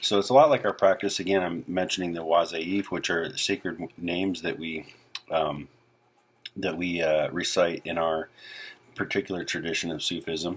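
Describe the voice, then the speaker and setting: Fairly even intonation at a moderate pace, with noticeable background noise. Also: man, very deep, low pitch for a man. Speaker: spiritual teacher. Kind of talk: spiritual talk. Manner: halting.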